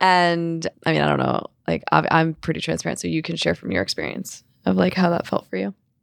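Here a woman talks at a fairly quick pace with hardly any pauses. The sound is dry and close, with no echo. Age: 30s. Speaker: non-binary creative, photography muse. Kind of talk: casual chat. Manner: animated.

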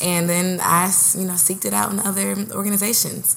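With an American accent, a woman speaks at a medium pitch and a fairly quick pace over noticeable background noise. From Oakland, California. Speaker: podcast co-host, actress and teaching artist. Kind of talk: casual chat. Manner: animated.

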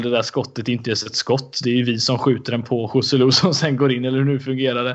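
This man's voice sits at a medium pitch. He delivers everything in a monotone, flat intonation. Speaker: football podcast co-host. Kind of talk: casual chat.

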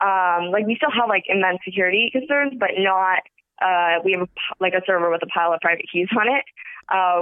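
With an American accent, a woman talks at a moderate pace, her medium-pitched voice showing ordinary pitch variation. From US West Coast, Los Angeles area. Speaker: crypto company founder. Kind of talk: interview.

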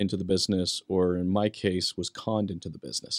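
A man with an American accent talks at a fairly quick pace in a dry, close sound with no echo. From Western United States. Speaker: podcast host. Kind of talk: casual interview chat. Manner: animated.

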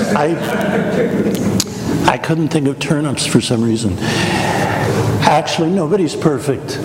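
Amid noticeable background noise, a man with an American accent speaks at a very slow pace with hardly any pauses and very wide pitch swings. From US Midwest, Wichita, Kansas. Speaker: priest. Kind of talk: retreat talk. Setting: church hall with live audience and microphone.

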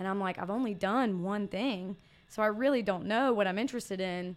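Speaking at a very fast pace, a woman with medium pitch talks in a Southern US accent. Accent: Southern American. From US South, Mississippi. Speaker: fitness coach. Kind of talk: casual interview. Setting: studio.

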